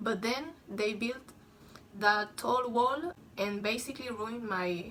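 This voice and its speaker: A bright, sharp tone in a Spanish accent, with ordinary pitch variation and a fairly slow pace. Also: woman. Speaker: vlogger. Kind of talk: casual vlog monologue. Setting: at home, bedroom. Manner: halting, many fillers; louder than usual.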